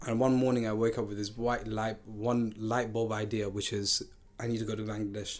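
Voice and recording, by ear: A man talks at a fairly quick pace. His fairly low pitch shows little pitch movement.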